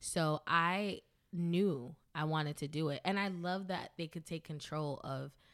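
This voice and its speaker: A woman with a New York accent speaks in a very deep, low voice and a monotone, flat intonation. The recording is very clean, with a silent background. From US, the Bronx, New York. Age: 30s. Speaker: DJ and dancer. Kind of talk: casual interview.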